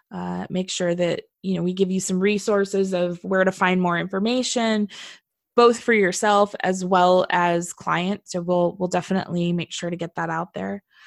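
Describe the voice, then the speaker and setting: Recorded very cleanly with a silent background, a woman with a Californian accent sounds dry and close with no echo. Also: medium pitch for a woman, moderate pace. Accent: California. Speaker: veterinary technician and podcast host. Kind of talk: casual chat. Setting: studio. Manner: animated.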